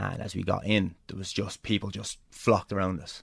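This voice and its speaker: With vocal fry, a man speaks at a very deep, low pitch. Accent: Irish. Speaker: pro wrestler. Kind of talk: interview storytelling. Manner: animated.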